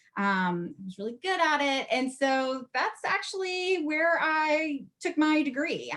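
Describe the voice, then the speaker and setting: With an American accent and very wide pitch swings, a woman speaks over noticeable background noise. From US Southeast, teen years in Ohio. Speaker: market research leader. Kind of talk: conference presentation.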